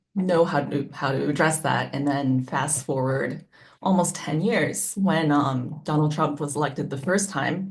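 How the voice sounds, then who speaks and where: Her very deep, low pitch carries vocal fry as a woman speaks at a fairly slow pace with ordinary pitch variation. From Japan. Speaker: concert pianist and arts founder. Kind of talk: panel discussion.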